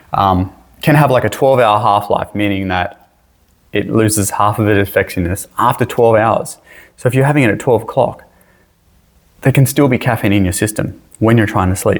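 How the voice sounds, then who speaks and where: Speaking at a fairly quick pace with an Australian accent, a man keeps a fairly low pitch, ordinary pitch variation and very even loudness. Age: 40s. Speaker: high school teacher. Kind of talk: lecture. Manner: casual, conversational.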